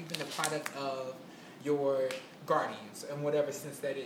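There is noticeable background noise and audible room echo. Through it, a woman speaks at a moderate pace. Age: 20s. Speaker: podcast co-host. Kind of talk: casual chat.

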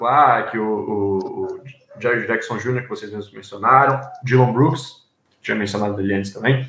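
Using fairly even intonation, a man speaks at a moderate pace. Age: 20s. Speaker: journalism student, new podcast panelist. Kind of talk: casual chat.

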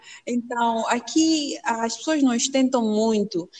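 A woman speaks at a fairly slow pace in a plain, everyday voice. Her pitch is fairly high, with ordinary pitch variation. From Mozambique. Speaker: doctoral student in plant pathology. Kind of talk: interview.

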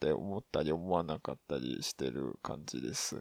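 Over a quiet background, a man with vocal fry speaks at a fairly slow pace and with lively intonation, recorded in a dry, close sound with no echo. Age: 30s. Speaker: podcast host. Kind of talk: casual solo monologue. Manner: halting, many fillers.

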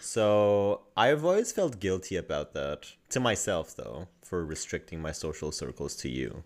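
A man with a fairly low voice swings his pitch very widely, speaking at a fairly slow pace with hardly any pauses. The recording is very clean, with a silent background. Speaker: podcast co-host. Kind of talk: casual chat. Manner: bantering, sarcastic.

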